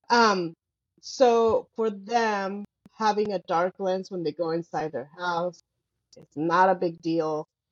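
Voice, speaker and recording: Speaking very slowly, a woman with a Spanish accent uses a medium pitch with ordinary pitch variation. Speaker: optician and podcast co-host. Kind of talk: casual chat.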